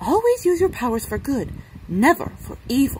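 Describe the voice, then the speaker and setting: A woman puts on a character voice with a high pitch at a moderate pace. Clear background noise can be heard. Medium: read story. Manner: forceful, emphatic.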